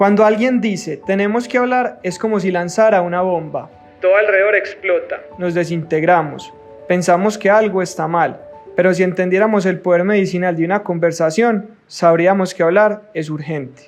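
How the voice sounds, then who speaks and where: With music in the background, a man talks at a moderate pace in a high pitch. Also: ordinary pitch variation. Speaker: podcast host. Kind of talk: show intro narration.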